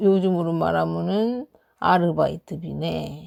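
Speaking at a very slow pace, a woman comes through on a very clean recording with a silent background and a dry, close sound with no echo. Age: old. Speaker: storyteller. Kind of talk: bedtime folk tale reading. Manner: warm, gentle.

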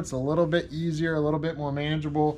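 A man's voice against light background noise. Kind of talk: casual walkthrough tutorial. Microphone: phone near.

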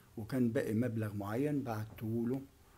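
A man talks with a dark, mellow tone that is somewhat breathy. His intonation stays fairly even. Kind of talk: interview answer. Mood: grieving, subdued storytelling. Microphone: handheld.

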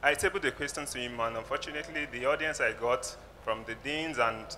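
With a Nigerian accent, the speaker talks at a fairly quick pace over light background noise. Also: man. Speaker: audience member, journalist; audience member. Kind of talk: audience question. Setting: audience at live event. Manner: halting. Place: hall. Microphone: handheld.

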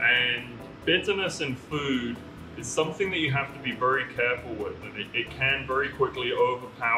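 With faint music in the background, a man speaks at a moderate pace. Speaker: brewery host cooking. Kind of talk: tutorial. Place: kitchen.

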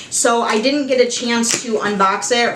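Audible room echo carries a woman's high-pitched, animated voice with an American accent. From Michigan, US. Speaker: YouTuber. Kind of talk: unboxing video. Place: home room.

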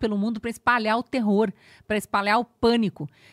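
With a Brazilian accent, a woman speaks in fairly even intonation against a quiet background, the sound dry with no echo. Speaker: news commentator. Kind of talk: angry rant. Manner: indignant, impassioned, accusatory; halting, stumbling over words when agitated. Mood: indignant, earnest. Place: studio. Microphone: studio mic.

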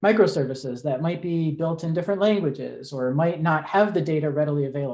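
Against a quiet background, a man talks at a very fast pace with a dark, mellow tone. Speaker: speaker. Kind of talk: lecture. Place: home room.

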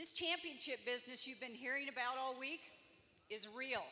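A woman speaks in a high, raised, projected voice. Her tone is upbeat. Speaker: college athletic director, event emcee. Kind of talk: ceremony emcee speech. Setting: arena with live audience. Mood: celebratory, proud. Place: hall. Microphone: handheld.

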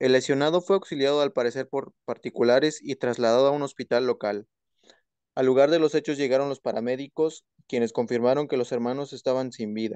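In a quiet background with a dry, close sound and no echo, a man uses a normal speaking voice at a medium pitch with fairly even intonation. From Mexico, Oaxaca. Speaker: law student. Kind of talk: reading aloud. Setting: video call.

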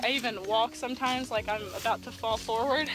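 A woman talks at a fairly quick pace with ordinary pitch variation. The sound is dry with no echo, though there is noticeable background noise. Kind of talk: casual vlog chat. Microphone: phone near.

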